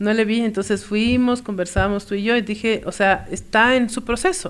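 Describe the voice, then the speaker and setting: Ordinary pitch variation in a woman's fairly high voice, delivered at a moderate pace. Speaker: podcast co-host. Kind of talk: casual chat. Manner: animated.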